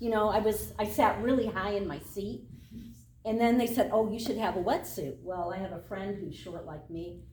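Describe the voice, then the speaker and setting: A woman with an American accent speaks in a fairly high voice with a dark, mellow tone, vocal fry, and lively intonation, with audible room echo. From Michigan, US Midwest. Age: 60s. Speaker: triathlon club member. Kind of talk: casual talk.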